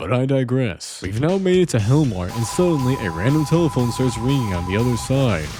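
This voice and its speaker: Music plays behind a man talking at a fairly quick pace. His pitch is medium and swings very widely. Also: hardly any pauses. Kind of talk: comedic gameplay voiceover narration. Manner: chaotic, joking.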